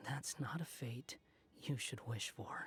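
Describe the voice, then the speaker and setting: In a put-on character voice, someone whispers at a fairly slow pace. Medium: video game. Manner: cool, detached.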